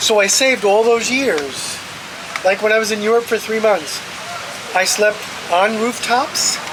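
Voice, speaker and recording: Long, frequent pauses break up the fairly slow speech, with noticeable background noise behind it. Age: 60s. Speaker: interviewee sharing career and money advice. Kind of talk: interview. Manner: repetitive, emphatic.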